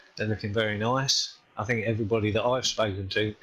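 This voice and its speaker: Very fast, monotone speech from a man with an English accent, fairly low in pitch and flat throughout. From England. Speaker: game community volunteer on podcast. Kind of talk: casual podcast chat.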